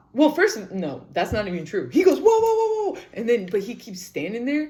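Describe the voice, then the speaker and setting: Against noticeable background noise, a woman talks at a moderate pace in an animated tone, with big swings in loudness. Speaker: podcaster. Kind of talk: casual storytelling.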